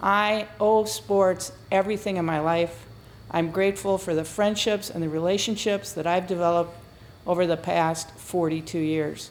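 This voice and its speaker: A woman with an ordinary speaking voice, fairly low in pitch, at a moderate pace, with fairly even intonation. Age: 60s. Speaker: retired business executive and former athlete. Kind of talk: testimonial to camera.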